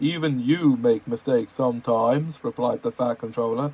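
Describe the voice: Someone reads a text out loud. The reading is plain.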